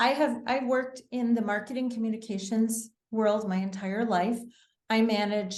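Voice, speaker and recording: A woman with an American accent, fairly high-pitched and somewhat breathy, at a moderate pace with fairly even intonation and audible room echo. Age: 60s. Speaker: wellness author. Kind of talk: interview.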